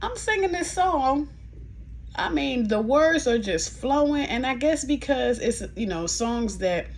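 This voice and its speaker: A woman talks very slowly while noticeable background noise and audible room echo fill the recording. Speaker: nurse and vlogger. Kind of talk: casual vlog. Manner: slow, with pauses; halting speech.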